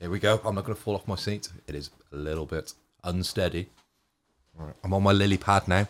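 A man with a British accent and a very deep, low pitch, very fast pace broken by long, frequent pauses, and fairly even intonation. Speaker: podcast co-host. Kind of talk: casual chat.

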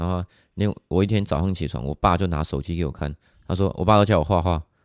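Speaking at a fairly quick pace with a Taiwanese accent, a man uses a very deep, low pitch and ordinary pitch variation against a quiet background. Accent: Taiwanese Mandarin. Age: 20s. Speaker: fitness coach. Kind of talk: casual chat.

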